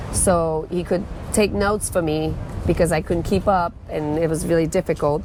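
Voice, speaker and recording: Noticeable background noise surrounds a woman with a slight French Canadian accent. Her fairly low voice moves at a moderate pace with fairly even intonation. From Quebec, French Canada. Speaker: former volleyball coach and CrossFit coach. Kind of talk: casual interview.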